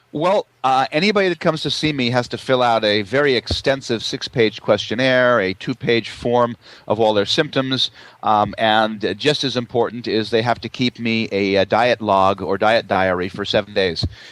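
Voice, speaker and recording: A man's ordinary speaking voice at medium pitch: an ordinary speaking voice. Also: ordinary pitch variation, moderate pace. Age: 60s. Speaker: naturopath. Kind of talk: interview.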